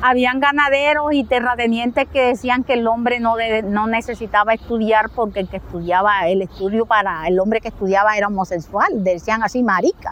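A woman at a fairly high pitch and fairly quick pace, hardly any pauses, ordinary pitch variation, noticeable background noise. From Colombian Caribbean, Montes de María. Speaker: rural teacher and community leader. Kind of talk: interview testimony.

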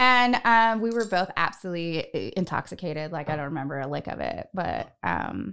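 The speaker uses lively intonation at a moderate pace, in an American accent. The background is quiet. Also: woman. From Northern California. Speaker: podcast host. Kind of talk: casual chat. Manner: animated.

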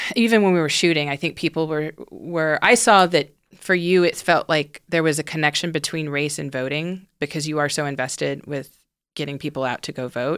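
An American-accented woman speaks with a very deep, low pitch. She moves at a fairly quick pace with ordinary pitch variation. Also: very clean recording, silent background. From US South, Houston, Texas. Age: 30s. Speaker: documentary director. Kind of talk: casual chat. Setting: studio.

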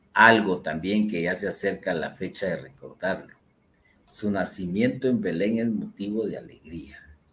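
A man with a fairly low pitch and a bright, sharp tone speaks at a moderate pace with fairly even intonation. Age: old. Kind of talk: religious teaching talk.

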